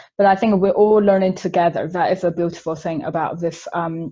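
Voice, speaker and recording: In a Chinese accent, a woman speaks at a medium pitch, her tone dark and mellow and somewhat breathy. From China. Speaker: webinar panellist. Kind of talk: webinar panel discussion.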